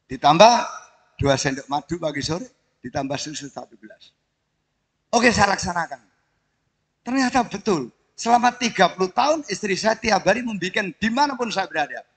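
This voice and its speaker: A man speaks in a high voice at a fairly quick pace, with long, frequent pauses. His pitch swings very widely and his loudness shifts a lot. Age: 70s. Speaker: retired military officer and benefactor. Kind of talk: ceremonial speech.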